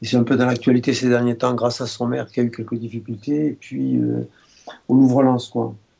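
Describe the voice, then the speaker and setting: Fairly quick, monotone and flat speech from a man at medium pitch. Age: 70s. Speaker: retired doctor. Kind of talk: interview. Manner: halting.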